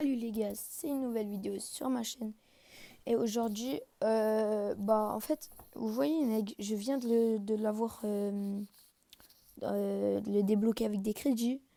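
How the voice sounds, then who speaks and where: A woman's very slow speech with long, frequent pauses, a fairly high pitch, ordinary pitch variation and a dark, mellow tone. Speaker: gaming youtuber. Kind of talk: live gameplay commentary. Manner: halting, many filler sounds.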